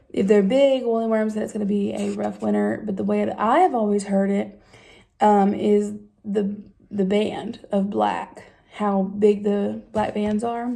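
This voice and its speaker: With an Appalachian accent, a woman speaks at a fairly slow pace. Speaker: vlogger. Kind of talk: casual talk to camera. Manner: hesitant, many fillers.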